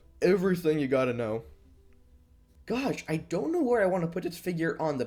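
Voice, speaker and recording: There is music in the background. A man speaks with very wide pitch swings. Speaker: toy figure reviewer. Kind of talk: casual video review. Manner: fast; hesitant, many fillers.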